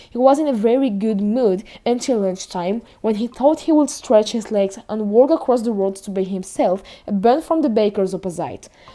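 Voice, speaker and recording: Music plays in the background as a woman with a fairly high pitch speaks at a moderate pace, her intonation lively. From France. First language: French. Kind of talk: audiobook reading. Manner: reading aloud in a second language.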